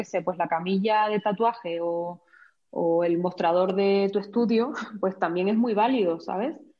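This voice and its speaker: A woman with a Canary Islands accent speaks with ordinary pitch variation. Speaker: professional photographer. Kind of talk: casual interview.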